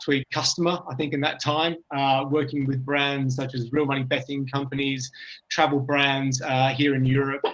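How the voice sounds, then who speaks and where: A man's medium-pitched voice with a London accent, moderate pace and monotone, flat intonation. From England, London. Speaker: app store optimization consultant. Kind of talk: panel discussion webinar.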